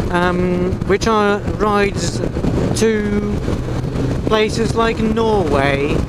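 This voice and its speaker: A man speaks over loud background noise, the sound dry with no echo. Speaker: motorcycle rider vlogger. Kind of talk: casual vlog chat. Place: motorbike. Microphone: lapel.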